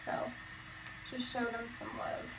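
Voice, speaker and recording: A fairly high-pitched woman amid noticeable background noise and audible room echo. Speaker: beauty vlogger. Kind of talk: hair tutorial.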